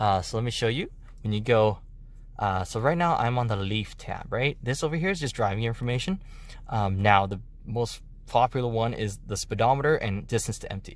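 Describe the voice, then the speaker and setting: Medium-pitched male voice at a fairly quick pace, with ordinary pitch variation. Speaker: car dealership delivery specialist. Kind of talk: tutorial. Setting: inside a car. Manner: fast; casual, conversational.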